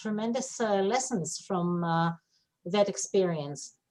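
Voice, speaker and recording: A woman speaks fairly slowly in an Israeli accent. Her pitch varies in an ordinary way. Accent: Israeli Hebrew. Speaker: webinar attendee asking a question. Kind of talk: audience comment in webinar.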